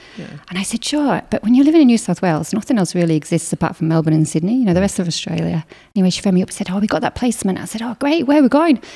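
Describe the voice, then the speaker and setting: Very fast and somewhat breathy, a woman speaks at medium pitch in a dark, mellow tone with very wide pitch swings. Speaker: marathon runner and business co-founder. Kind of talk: casual interview chat.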